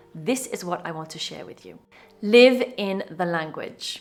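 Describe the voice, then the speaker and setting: A woman with a British accent speaks at a medium pitch and a fairly slow pace. Her pitch varies in an ordinary way. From UK. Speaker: English teacher. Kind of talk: online English lesson.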